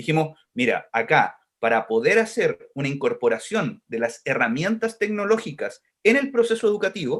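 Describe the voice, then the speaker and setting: Here a man speaks with a Chilean accent. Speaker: education technology organization director. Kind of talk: podcast interview. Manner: fast.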